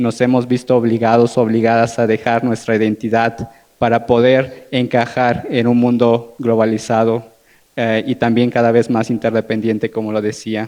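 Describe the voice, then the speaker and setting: A man in an Oaxacan accent, monotone and flat, at a moderate pace. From Oaxaca, Mexico (Zapotec community). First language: Zapotec (speaking Spanish). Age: young. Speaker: panelist, international relations graduate. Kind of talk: panel discussion talk. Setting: live-streamed panel event.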